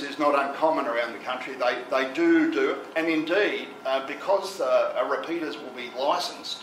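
A man with a fairly high pitch talks at a moderate pace with few pauses, his fairly bright tone carrying ordinary pitch variation over audible room echo.

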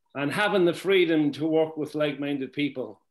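Over a quiet background, a man speaks. His pitch is fairly high, with ordinary pitch variation. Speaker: senior network marketing mentor. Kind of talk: motivational talk. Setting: video call. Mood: warm, proud. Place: home room. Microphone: webcam.

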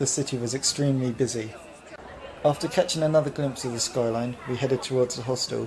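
A man at a very fast pace with fairly even intonation, crowd noise in the background. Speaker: travel vlog narrator. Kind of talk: travel narration voice-over.

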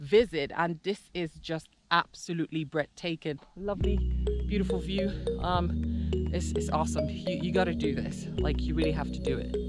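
A woman speaks at a moderate pace over loud music in the background. The sound is dry, with no echo. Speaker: travel vlogger. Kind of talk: casual vlog chat. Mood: excited, awed. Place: open country. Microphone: phone near.

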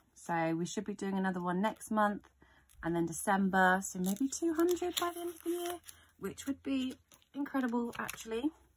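Somewhat breathy and delivered at a moderate pace, this voice swings very widely in pitch over light background noise. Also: woman. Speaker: budgeting vlogger. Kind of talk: casual vlog chat. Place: home room. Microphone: phone near.

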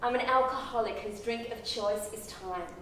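Amid light background noise and audible room echo, a woman talks at a moderate pace with a high pitch. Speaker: actor performing a monologue. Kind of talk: theatrical monologue, confessional and intense, spoken straight to a listener. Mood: intense, emotional. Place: stage. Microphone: camera far.

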